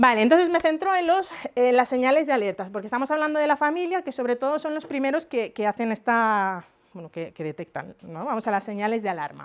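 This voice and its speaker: In a very clean recording with a silent background, a high-pitched woman talks at a very fast pace with very wide pitch swings and big swings in loudness. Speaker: psychologist lecturer. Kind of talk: lecture.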